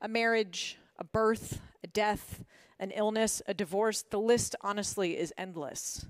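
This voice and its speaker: In a very clean recording with a silent background, a woman with an American accent talks at a fairly slow pace in a fairly high voice with fairly even intonation. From Washington, D.C., US. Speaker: motivational speaker, former corporate lawyer. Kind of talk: prepared talk. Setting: stage with audience.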